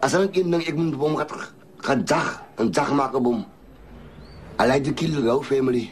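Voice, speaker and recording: With long, frequent pauses, a man keeps a moderate pace as noticeable background noise carries on behind him. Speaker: prison gang leader. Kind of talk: testimony.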